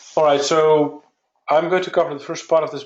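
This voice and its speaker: A man with a Dutch accent at a fairly quick pace. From Netherlands. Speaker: software company founder. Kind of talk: webinar presentation. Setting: online webinar.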